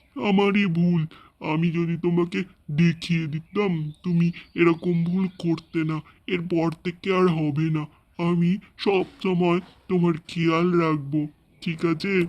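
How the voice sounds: A man uses a cartoonish character voice pitched high. He talks at a fairly slow pace in a monotone, flat intonation.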